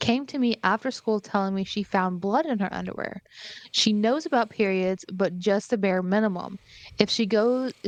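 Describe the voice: Ordinary pitch variation in plain reading aloud.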